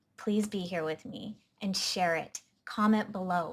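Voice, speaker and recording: Very slowly, a woman talks in a somewhat breathy voice with fairly even intonation. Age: 30s. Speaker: health coach and vlogger. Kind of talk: personal testimony to camera.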